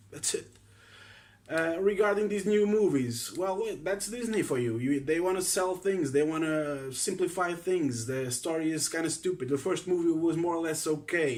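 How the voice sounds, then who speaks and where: The speaker uses a Portuguese accent, talking at a moderate pace with ordinary pitch variation. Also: man. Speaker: film fan vlogger. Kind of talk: casual opinion monologue. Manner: halting, many fillers.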